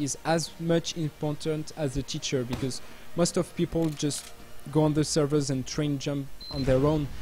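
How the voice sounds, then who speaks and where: Here a man speaks at a fairly high pitch. His pace is moderate and his intonation fairly even. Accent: French. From France. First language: French. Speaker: game community streamer. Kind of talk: live stream chat. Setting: live stream. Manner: halting.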